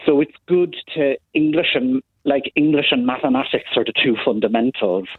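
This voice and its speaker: At a moderate speed, a man talks with an Irish accent. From Ireland. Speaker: caller, former teacher. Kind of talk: phone-in call.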